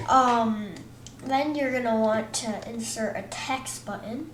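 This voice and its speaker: There is noticeable background noise and audible room echo. A woman speaks at a fairly high pitch. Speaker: gaming tutorial youtuber. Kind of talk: tutorial. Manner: halting, many fillers and restarts; casual.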